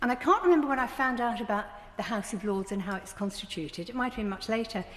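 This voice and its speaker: With a southern English accent, a woman speaks over noticeable background noise. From southern England, Brighton. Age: 70s. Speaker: politician. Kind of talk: parliamentary speech. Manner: formal.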